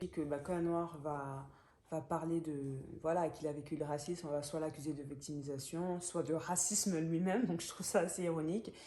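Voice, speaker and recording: A woman with a Gabonese accent and a dark, mellow tone, with ordinary pitch variation at a moderate pace, amid audible room echo. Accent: African (Gabonese). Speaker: book vlogger. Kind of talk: book review monologue. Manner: hesitant, many fillers.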